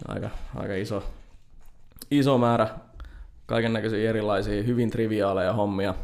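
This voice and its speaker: In a fairly low voice, a man speaks at a moderate pace with monotone, flat intonation and long, frequent pauses. Audible room echo surrounds him. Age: 20s. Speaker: software developer. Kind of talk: interview. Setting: studio.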